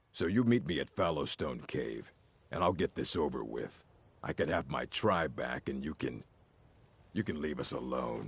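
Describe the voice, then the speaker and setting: A man puts on a gruff character voice. The background is quiet. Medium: video game. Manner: gruff, resentful.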